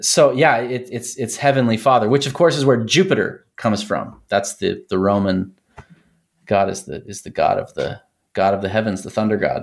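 A man talks with an American accent in a normal speaking voice. His pace is moderate, with big swings in loudness. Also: medium pitch for a man, lively intonation. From Texas. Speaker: academic guest with a doctorate. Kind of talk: casual chat.

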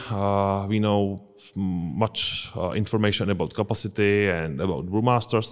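A man with a Czech accent speaks at a fairly low pitch. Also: very clean recording, silent background. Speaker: brewmaster. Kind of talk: casual interview. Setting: brewery. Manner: halting, hesitant.

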